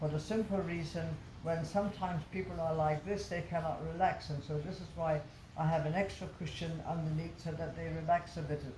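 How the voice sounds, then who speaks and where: Noticeable background noise and audible room echo surround a woman who talks at a fairly quick pace with a fairly low pitch. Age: 80s+. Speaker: yoga teacher. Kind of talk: casual interview. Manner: halting.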